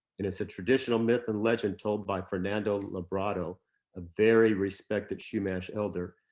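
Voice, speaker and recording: This man speaks with an American accent in a fairly low pitch. His moderate-paced delivery is monotone, with flat intonation. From Southern California. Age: 70s. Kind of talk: talk at a church service. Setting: church sanctuary with Zoom audience. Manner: halting, many fillers.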